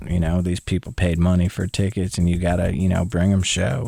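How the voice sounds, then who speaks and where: Over noticeable background noise, a man speaks at a moderate pace in a very deep, low pitch. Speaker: country singer-songwriter. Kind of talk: casual interview chat. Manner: halting, repetitive restarts.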